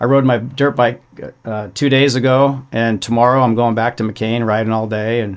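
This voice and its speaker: Fairly even intonation at a fairly quick clip, in an unremarkable speaking voice. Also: man. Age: 60s. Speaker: off-road racing champion. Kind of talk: casual chat.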